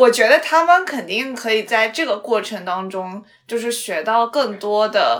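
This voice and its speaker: A woman with a fairly high pitch speaks with lively intonation. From Xi'an, China. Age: 20s. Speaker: podcast host. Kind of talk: casual chat.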